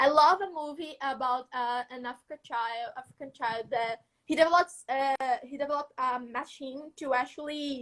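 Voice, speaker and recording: A woman with a high pitch and fairly even intonation speaks at a moderate pace. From northeastern Brazil, Maceió, Alagoas. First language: Portuguese. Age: young. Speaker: student innovator. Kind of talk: casual interview chat. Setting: live video call.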